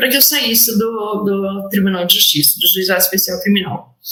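A woman's medium-pitched voice comes with audible room echo. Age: 50s. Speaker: lawyer and public servant. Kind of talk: interview testimony. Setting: remote call (hybrid format).

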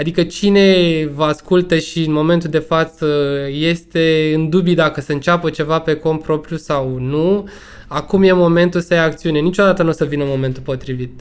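A man with a plain, everyday voice speaks at a moderate pace. His pitch is fairly high and his intonation fairly even. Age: 30s. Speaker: entrepreneur, sports brand owner. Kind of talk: casual chat. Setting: online remote recording.

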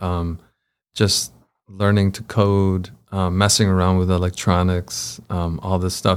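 An ordinary speaking voice from a man, fairly low in pitch, at a fairly slow pace, in a very clean recording with a silent background. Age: 30s. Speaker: tech community co-founder. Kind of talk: casual chat.

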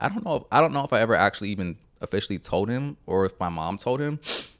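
A man with an American accent talks at a very fast pace with lively intonation and a fairly low pitch. The recording is very clean, with a silent background. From Houston, Texas (Channelview, East Side). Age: 30s. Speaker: artist and photographer. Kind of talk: casual chat.

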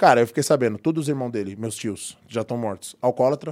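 Very fast speech comes from a man at medium pitch. His tone is dark and mellow, with ordinary pitch variation. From Brazil, São Paulo metro area. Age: 40s. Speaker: personal trainer and former rapper. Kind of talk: casual interview chat.

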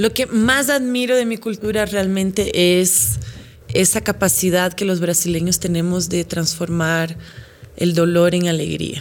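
A woman with a slight Brazilian accent speaks at a fairly slow pace, her fairly low pitch showing ordinary variation. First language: Portuguese (speaking Spanish). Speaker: actress and presenter. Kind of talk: casual interview.

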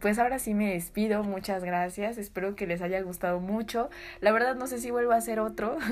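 A woman speaks at medium pitch in an unremarkable speaking voice. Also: ordinary pitch variation, fairly quick pace. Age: 20s. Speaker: podcaster. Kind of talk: casual storytelling.

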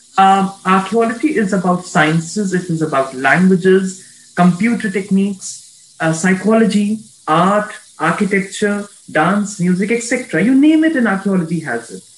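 A man talks at a moderate pace with a high pitch. His intonation is lively. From India. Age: 20s. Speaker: archaeologist. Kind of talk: interview.

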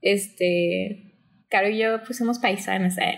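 In a plain, everyday voice, a woman of medium pitch talks with ordinary pitch variation. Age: 20s. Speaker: book content creator. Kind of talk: casual interview chat.

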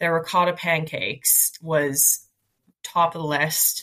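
A woman's fairly low-pitched voice with an Atlantic Canadian accent. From Nova Scotia, Halifax. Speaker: digital marketer. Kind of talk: casual chat.

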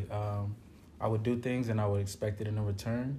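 The voice is dark, mellow and somewhat breathy, moving at a fairly quick pace. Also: man. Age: 30s. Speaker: musician. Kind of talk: casual chat.

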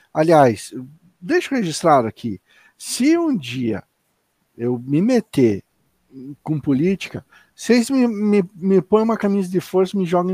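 A man's high voice at a fairly slow pace, pitch swinging very widely, dry and close with no echo, on a very clean recording with a silent background. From Curitiba, southern Brazil. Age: 40s. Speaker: podcast co-host. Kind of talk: casual chat. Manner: halting, repeats words.

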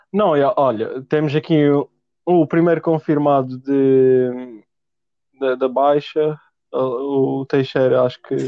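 Long, frequent pauses break up a man's very slow speech at a fairly high pitch. His intonation is fairly even and his loudness very even. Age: young. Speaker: podcast host. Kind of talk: casual chat. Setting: home recording at desk.

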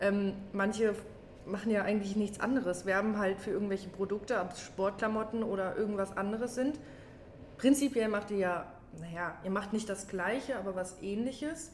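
At a moderate pace, a woman talks in an unremarkable speaking voice with medium pitch and ordinary pitch variation. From Germany, near Kassel (northern Hesse). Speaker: outpatient care worker. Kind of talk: casual chat.

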